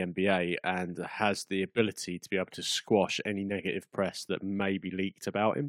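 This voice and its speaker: Over a quiet background comes an unremarkable speaking voice with fairly even intonation. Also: man. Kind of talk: heated debate. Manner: dry, exasperated, calling out interruptions.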